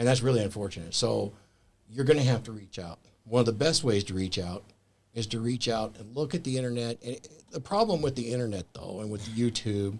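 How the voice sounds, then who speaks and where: Moving at a fairly quick pace, a man with an ordinary speaking voice shows big swings in loudness and ordinary pitch variation. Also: medium pitch for a man. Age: 60s. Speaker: author and men's mentor. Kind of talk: casual chat.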